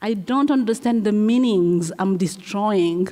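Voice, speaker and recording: Someone speaks with a Congolese accent over noticeable background noise. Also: woman. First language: French. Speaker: playwright and performer. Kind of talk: onstage interview. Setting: stage with audience. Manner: halting.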